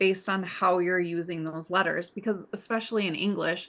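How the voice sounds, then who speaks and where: A woman with a Midwestern accent at a medium pitch and a moderate pace, with fairly even intonation. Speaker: podcast co-host. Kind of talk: casual chat.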